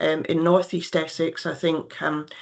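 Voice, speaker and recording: Against a quiet background, a woman talks at a fairly slow pace and fairly low pitch with a slight Scottish accent. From Scotland. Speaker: nurse and health care director. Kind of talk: presentation. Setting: video call. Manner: hesitant, many fillers.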